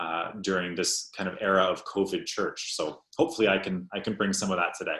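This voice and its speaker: A man with a Canadian accent speaks at a fairly quick pace. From Canada, Ontario. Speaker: pastor. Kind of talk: panel discussion.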